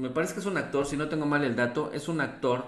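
Fairly quick speech with ordinary pitch variation and audible room echo. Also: man. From Mexico City. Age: 50s. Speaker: local news presenter; local news host. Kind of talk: live news commentary and reading viewer comments. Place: home room.

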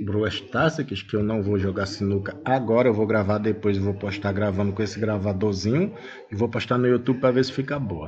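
At a moderate pace, a man with a normal speaking voice talks at a fairly low pitch with ordinary pitch variation. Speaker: tech tutorial youtuber. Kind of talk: tutorial. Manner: casual.

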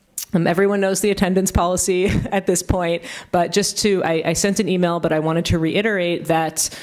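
Her pace is fairly quick. This woman speaks in a monotone, flat intonation. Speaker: host introducing speakers, instructor. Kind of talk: event introduction and class announcements. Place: hall. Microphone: podium.

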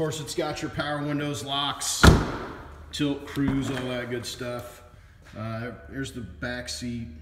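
Loud background noise accompanies a man speaking. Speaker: car salesperson. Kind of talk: sales walkaround commentary. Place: shop. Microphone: phone near.

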